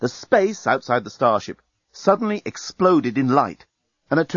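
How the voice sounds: With lively intonation, a natural reading voice comes through over a quiet background.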